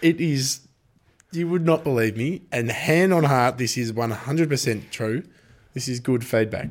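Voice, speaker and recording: A man with an Australian accent at a medium pitch, moderate pace and ordinary pitch variation. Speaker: greyhound racing podcast host. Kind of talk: casual chat. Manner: animated.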